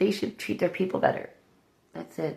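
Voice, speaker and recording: A woman with a Canadian accent talks with vocal fry. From Canada. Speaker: new YouTuber, political vlogger. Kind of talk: casual opinion vlog. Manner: rambling, hesitant with fillers.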